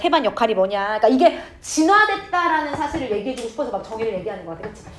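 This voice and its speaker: The voice moves at a very fast pace with very wide pitch swings and big swings in loudness, over noticeable background noise. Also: woman. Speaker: English teacher. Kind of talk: lecture. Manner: casual, informal speech to students.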